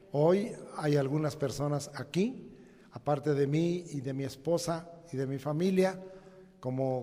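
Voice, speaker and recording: The pace is very slow, with ordinary pitch variation. Noticeable background noise and audible room echo fill the recording. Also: man. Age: 70s. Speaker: pastor. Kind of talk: sermon. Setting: church.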